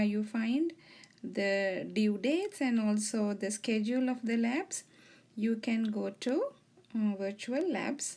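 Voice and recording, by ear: A woman talks at a slow pace with lively intonation. Her tone is slightly mellow.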